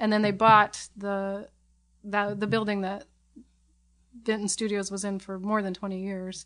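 In a quiet background, a woman speaks with an American accent at a medium pitch. Her intonation stays fairly even. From Portland, Oregon (Southwest Portland). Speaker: puppet fabricator. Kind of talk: casual chat. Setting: home.

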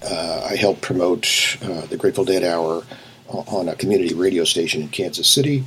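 Noticeable background noise surrounds the recording. A man speaks at a moderate pace in a very deep, low pitch. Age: 70s. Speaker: retired management professor and author. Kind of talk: interview.

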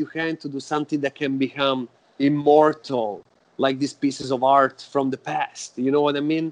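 Delivery comes at a moderate pace. An Italian accent colors the words. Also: man. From Italy, Florence. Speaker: death metal musician. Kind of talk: interview.

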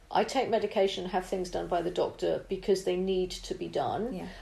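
Noticeable background noise sits behind a woman who speaks at a fairly quick pace. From northern England. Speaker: beauty expert and TV presenter. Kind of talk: casual interview.

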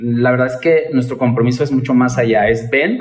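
At a moderate pace, a man talks in a medium pitch. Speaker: pastry chef and entrepreneurship trainer. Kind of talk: casual interview.

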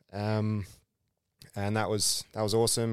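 A man's fairly low, flat, monotone voice in an Australian accent at a moderate pace, in a very clean recording with a silent background. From Perth, Western Australia. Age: 20s. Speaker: former footballer and teacher. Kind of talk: casual chat.

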